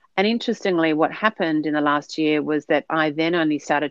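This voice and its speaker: At a fairly quick pace, a woman with a very deep, low pitch and an Australian accent speaks with ordinary pitch variation. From Sydney, Australia. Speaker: podcast guest. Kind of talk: casual interview chat.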